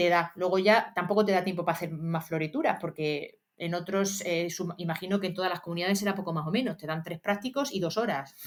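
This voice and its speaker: A woman's fairly low voice at a very fast pace, with hardly any pauses and ordinary pitch variation. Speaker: history teacher and exam-prep youtuber. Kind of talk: study tutorial. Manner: casual, many fillers.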